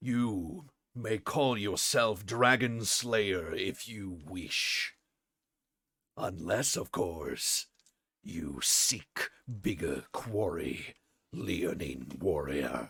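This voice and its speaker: Speaking very slowly in a put-on character voice, a man sounds raspy with a fairly low pitch. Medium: actual play. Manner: formal, dignified.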